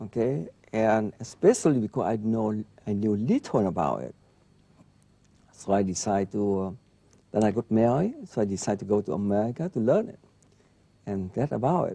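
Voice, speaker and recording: With a non-native accent, a man talks at a fairly quick pace with long, frequent pauses, his fairly low pitch carrying a dark, mellow tone and ordinary pitch variation. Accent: foreign. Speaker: neurologist. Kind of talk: interview. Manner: halting.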